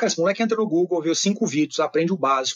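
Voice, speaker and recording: This man's voice is high in pitch, with ordinary pitch variation. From Brazil, Minas Gerais (Uberaba). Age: 30s. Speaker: business executive and author. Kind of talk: podcast interview.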